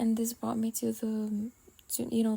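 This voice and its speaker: A non-native accent at a fairly slow pace. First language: not English. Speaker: podcast host. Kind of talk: casual monologue vent. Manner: halting, many pauses.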